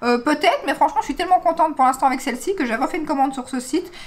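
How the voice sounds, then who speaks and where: Ordinary pitch variation from a woman amid noticeable background noise. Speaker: beauty vlogger. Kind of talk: casual vlog review. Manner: chatty, many hesitations.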